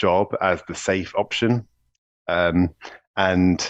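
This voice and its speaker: This man speaks with a British accent. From UK. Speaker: executive coach. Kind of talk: podcast interview.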